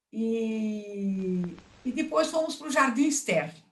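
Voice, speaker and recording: Very slowly, a woman speaks in a somewhat breathy voice with very wide pitch swings. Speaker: retired teacher. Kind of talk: oral history interview.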